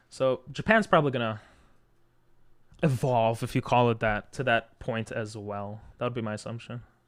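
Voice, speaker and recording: The recording is very clean with a silent background. A man talks at medium pitch and a moderate pace with fairly even intonation. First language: Hebrew. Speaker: streamer. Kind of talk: casual chat. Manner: casual, many fillers.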